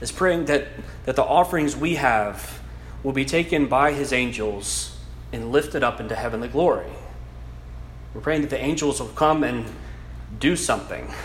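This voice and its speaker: Long, frequent pauses break up the speech, with noticeable background noise and audible room echo. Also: man, moderate pace. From South Louisiana. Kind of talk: lecture. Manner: halting.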